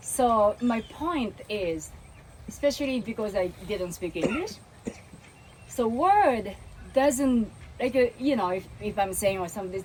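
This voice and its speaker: With noticeable background noise behind her, a woman speaks at a fairly slow pace in a Japanese accent and a fairly high pitch. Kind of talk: casual group discussion.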